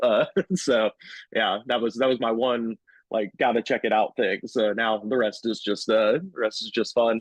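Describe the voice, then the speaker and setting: Talking at a fairly quick pace, a man keeps a fairly even intonation at a medium pitch. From US South. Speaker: comedian. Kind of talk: casual chat. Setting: studio.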